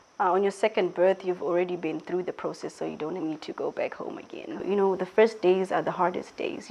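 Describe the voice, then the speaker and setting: A woman speaks with a Zimbabwean accent. Her pace is fairly quick. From Zimbabwe, Mutare. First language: Shona. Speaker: interviewee sharing personal story. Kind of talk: interview. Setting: filmed indoors at a school.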